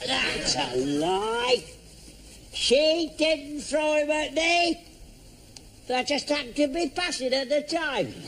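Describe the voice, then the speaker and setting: A put-on character voice at a fairly slow pace, with long, frequent pauses and clear background noise. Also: man, extremely high pitch for a man. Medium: short film. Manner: grumbling, slow.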